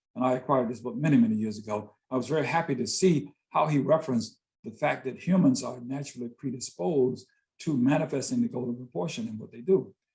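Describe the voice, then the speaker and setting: A man with an American accent talks at a very fast pace with medium pitch and ordinary pitch variation. His tone is dark and mellow, and somewhat breathy. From US South, Greensboro, North Carolina. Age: 60s. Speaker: visual artist and poet. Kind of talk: interview conversation.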